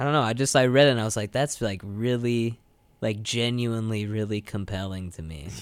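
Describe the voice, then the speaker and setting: This man has a plain, everyday voice. His pitch sits at a medium level with ordinary variation. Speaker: radio host. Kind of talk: casual chat; poem reading, performed. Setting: studio. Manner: slow, deliberate, lyrical cadence.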